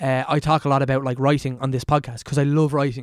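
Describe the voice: A man with a medium-pitched, slightly mellow voice talks with little pitch movement on a very clean recording with a silent background.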